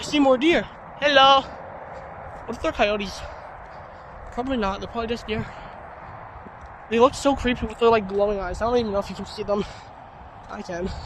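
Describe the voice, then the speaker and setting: The speech moves at a fairly quick pace yet has long, frequent pauses. Background noise is noticeable. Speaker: vlogger. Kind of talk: casual vlog narration. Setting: outdoors in a forest. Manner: animated.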